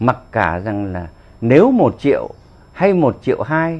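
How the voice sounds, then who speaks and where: A man with a Northern Vietnamese accent talks very slowly, his pitch swinging very widely. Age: 70s. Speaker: war veteran. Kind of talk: political commentary monologue. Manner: animated. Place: home room. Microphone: lapel.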